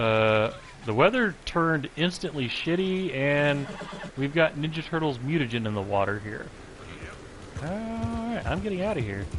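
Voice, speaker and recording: With noticeable background noise behind him, a man speaks at a moderate pace. His fairly high pitch moves in very wide swings. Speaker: gaming livestreamer. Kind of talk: live gameplay commentary. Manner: stutters at times; casual, conversational.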